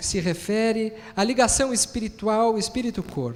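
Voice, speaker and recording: A man speaks at a fairly slow pace with a southern Brazilian accent. His pitch is high. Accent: gaúcho Brazilian Portuguese. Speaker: physician and spiritist lecturer. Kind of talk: lecture.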